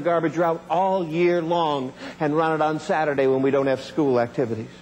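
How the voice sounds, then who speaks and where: A man with an animated, enthusiastic tone speaks at a fairly quick pace over noticeable background noise. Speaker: motivational speaker. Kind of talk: motivational keynote speech telling a personal story. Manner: animated, humorous, enthusiastic storytelling.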